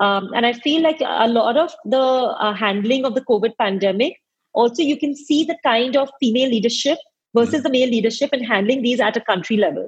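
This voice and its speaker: Her pace is fairly quick, and her loudness stays very even. The woman's pitch is high, with ordinary variation. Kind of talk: interview conversation.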